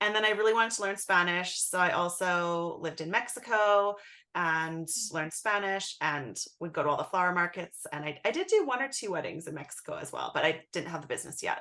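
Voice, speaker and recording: A woman with a plain, everyday voice talks at a fairly quick pace in a fairly low pitch with ordinary pitch variation. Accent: Canadian. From Canada, rural Alberta. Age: 20s. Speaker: florist, business owner. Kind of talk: interview.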